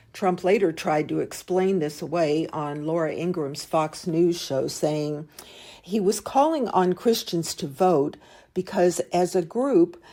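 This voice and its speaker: The tone is dark and mellow, at a fairly slow pace. The recording is very clean, with a silent background. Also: woman. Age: 70s. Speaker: podcast host. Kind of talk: political commentary podcast.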